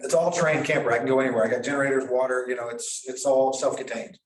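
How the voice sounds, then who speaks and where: A man with an American accent talks at a very fast pace. Audible room echo can be heard. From US South (southern Missouri). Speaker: property owner at a nuisance hearing. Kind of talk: testimony. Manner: halting.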